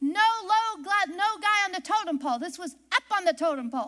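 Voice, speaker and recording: An extremely high-pitched, shrill, squeaky woman's voice, raised and projected, bright and sharp in tone, with very wide pitch swings. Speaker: preacher. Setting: church service. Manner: loud.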